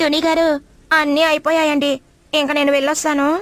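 At a moderate pace, a woman uses a cartoonish character voice that is high in pitch and monotone, with flat intonation. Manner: polite, deferential.

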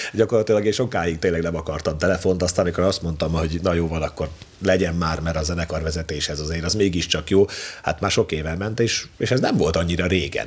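A man talks at a very fast pace in a very deep, low voice. His intonation stays fairly even. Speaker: talk show guest. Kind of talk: interview answer. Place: studio.

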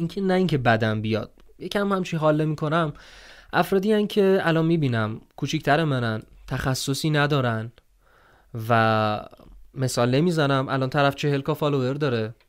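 The speaker moves at a moderate pace with lively intonation, and the background is quiet. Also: man, fairly high pitch for a man. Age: 20s. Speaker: voice-over artist and content creator; content creator. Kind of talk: interview. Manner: casual. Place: home room. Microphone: studio mic.

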